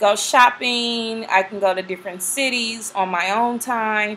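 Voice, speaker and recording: A plain, everyday voice from a woman, fairly high in pitch with ordinary pitch variation. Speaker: flight attendant vlogger. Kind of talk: casual vlog talk.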